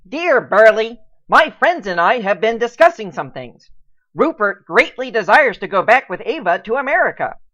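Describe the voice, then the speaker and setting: A put-on character voice, female-sounding and fairly high-pitched, at a moderate pace against a quiet background. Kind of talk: 1940s radio acting. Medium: audio drama. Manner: formal, polite.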